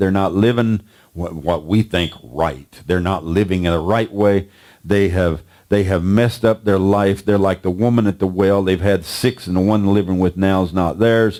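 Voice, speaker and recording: This man speaks at a very even loudness, his fairly low pitch moving with ordinary variation. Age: 60s. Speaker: preacher. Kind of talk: sermon. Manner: repetitive, emphatic.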